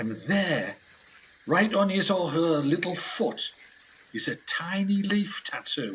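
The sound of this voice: With audible room echo, a man puts on a character voice at high pitch, speaking at a slow pace with lively intonation and a fairly bright tone.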